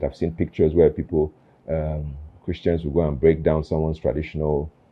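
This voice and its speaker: Speaking at a very fast pace, a man. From Nigeria, army barracks across the country. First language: Nigerian Pidgin. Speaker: interview show host. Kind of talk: casual interview conversation. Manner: halting, many fillers and repeats.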